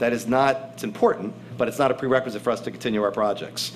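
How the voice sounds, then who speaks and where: As the man talks, noticeable background noise mixes with audible room echo. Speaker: real estate developer executive. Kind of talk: formal presentation. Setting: council meeting room with audience. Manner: fast.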